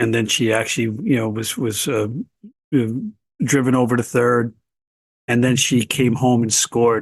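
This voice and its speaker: Talking at a moderate pace, a man uses an ordinary speaking voice at a medium pitch. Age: 60s. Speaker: blind baseball association president and player. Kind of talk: podcast interview.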